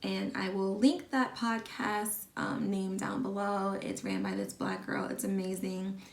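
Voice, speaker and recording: Fairly slow delivery with hardly any pauses, against noticeable background noise. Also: woman. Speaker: lifestyle vlogger. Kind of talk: casual vlog talk.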